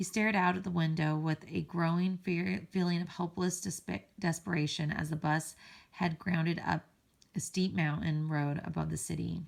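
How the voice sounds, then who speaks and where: A woman uses a put-on character voice that is raspy and fairly low in pitch. She keeps a moderate pace. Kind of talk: read-aloud narration. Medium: read story. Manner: halting, self-correcting.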